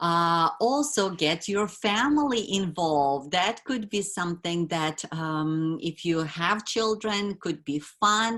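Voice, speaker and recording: A woman with a non-native accent, very slow pace, hardly any pauses and lively intonation. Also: fairly low pitch for a woman. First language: not English. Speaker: wellness educator. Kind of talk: webinar presentation. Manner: halting, many fillers.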